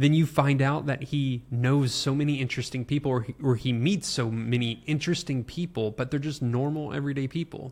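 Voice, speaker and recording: On a very clean recording with a silent background, a man speaks at a moderate pace in a fairly high pitch. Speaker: podcast co-host. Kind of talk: casual chat. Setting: in a camper truck.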